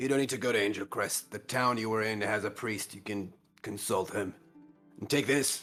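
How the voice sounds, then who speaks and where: A man puts on a raspy character voice at medium pitch, speaking at a moderate pace with faint music in the background. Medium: actual play. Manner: calm, laconic.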